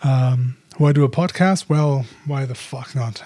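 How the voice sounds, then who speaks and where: A man at medium pitch talks with a non-native accent. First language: not English. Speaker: podcaster, photographer and filmmaker. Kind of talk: casual solo podcast monologue. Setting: home office by street window. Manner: halting, many fillers.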